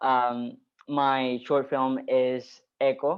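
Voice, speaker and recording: A man speaks with a Spanish accent at a medium pitch. His intonation is monotone and flat. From Puerto Rico. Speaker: filmmaker. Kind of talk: panel Q&A. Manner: halting.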